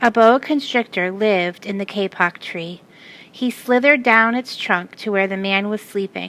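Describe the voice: This plain reading aloud shows ordinary pitch variation.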